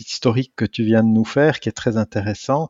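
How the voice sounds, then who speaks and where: A man talks in a normal speaking voice at medium pitch, with ordinary pitch variation. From Switzerland, canton of Neuchâtel. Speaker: physics professor, atomic clock specialist. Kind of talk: interview.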